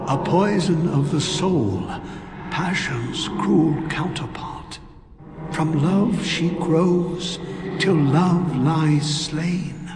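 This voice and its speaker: Putting on a character voice, a man speaks at a very slow pace with a high pitch, accompanied by clear background noise and a clear echo. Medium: video game. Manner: brooding, regretful.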